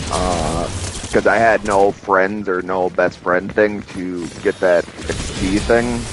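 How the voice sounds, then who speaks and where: A man speaks in a very deep, low voice at a very slow pace with ordinary pitch variation. Music plays in the background. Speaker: gaming streamer. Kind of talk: casual gaming livestream chat. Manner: halting, repeats words.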